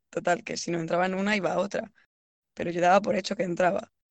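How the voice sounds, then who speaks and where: A woman speaks at a medium pitch. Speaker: podcast co-host, university student. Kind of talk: casual chat.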